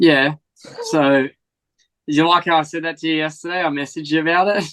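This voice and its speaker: With an American accent, a man talks at a fairly quick pace in a fairly high pitch and an animated tone. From Australia, rural northern Victoria. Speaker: motocross rider. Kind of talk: casual chat.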